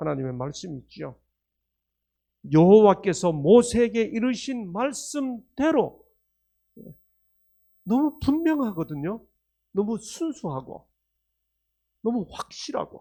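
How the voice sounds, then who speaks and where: Very slow and full of long, frequent pauses, a man's high-pitched voice has a dark, mellow tone and very wide pitch swings. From Korea, Gangneung (Gangwon). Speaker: professor giving religious health lectures. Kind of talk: sermon-style lecture. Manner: interactive, asks audience questions.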